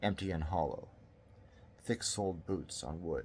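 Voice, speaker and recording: A man's very deep, low pitch with vocal fry, ordinary pitch variation and a fairly slow pace. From Canada. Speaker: author reading his own story. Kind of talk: horror story reading.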